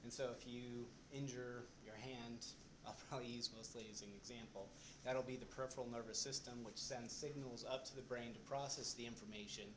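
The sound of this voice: The voice is soft-spoken, with fairly even intonation. It moves at a fairly quick pace. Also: man, medium pitch for a man.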